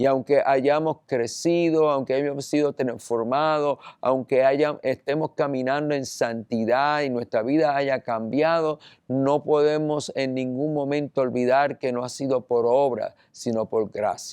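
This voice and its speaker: At a fairly slow pace with hardly any pauses, a man with a fairly high voice speaks with fairly even intonation in a dry, close sound with no echo. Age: 60s. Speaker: pastor. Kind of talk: sermon. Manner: halting.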